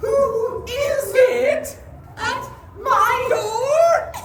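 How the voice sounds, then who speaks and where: This is a female-sounding, put-on character voice. Its pitch is extremely high. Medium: stage play.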